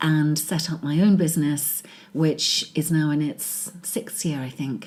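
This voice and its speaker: A woman with a British accent and a very deep, low voice, at a fairly slow pace with ordinary pitch variation. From England. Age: 40s. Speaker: business executive. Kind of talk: interview.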